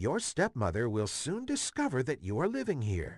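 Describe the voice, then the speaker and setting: Delivered at a moderate pace, a put-on character voice sounds over a quiet background. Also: man. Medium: read story.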